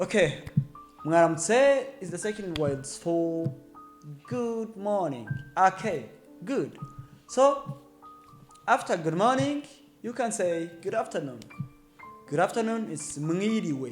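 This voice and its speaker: With music playing in the background, a man with a Rwandan accent speaks at a very slow pace in a high pitch, his voice swinging very widely and broken by long, frequent pauses. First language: Kinyarwanda. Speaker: language teacher. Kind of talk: language lesson to camera.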